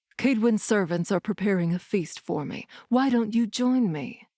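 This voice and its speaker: A put-on character voice delivered at a moderate pace on a very clean recording with a silent background. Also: woman, medium pitch for a woman. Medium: read story. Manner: smug, mocking.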